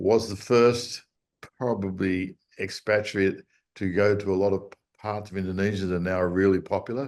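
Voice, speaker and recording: A man's fairly low voice in an Australian accent, moderate in pace with fairly even intonation, over a quiet background. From Australia, Sydney. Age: 60s. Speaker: surf charter captain. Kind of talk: interview. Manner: hesitant with fillers.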